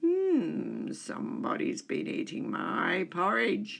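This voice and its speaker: This is a put-on character voice, growling throughout. It moves at a very slow pace. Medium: read story.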